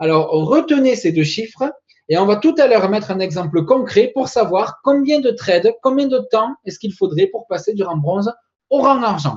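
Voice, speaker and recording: With very wide pitch swings, a man speaks at a moderate pace in a high voice. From southern France, Toulouse. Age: 20s. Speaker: network marketing presenter. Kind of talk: sales pitch. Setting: webinar.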